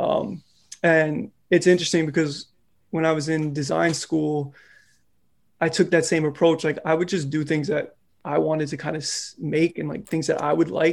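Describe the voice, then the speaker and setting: An unremarkable speaking voice with an American accent comes through on a very clean recording with a silent background. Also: man, fairly high pitch for a man, fairly even intonation, moderate pace. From New York, the Bronx. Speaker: illustrator and designer. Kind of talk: casual interview.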